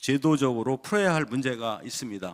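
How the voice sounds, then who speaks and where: A man speaks at medium pitch in a plain, everyday voice with lively intonation. The recording is very clean with a silent background. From South Chungcheong, Korea (Cheonan). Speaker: provincial council member. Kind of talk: formal legislative questioning. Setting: council assembly chamber.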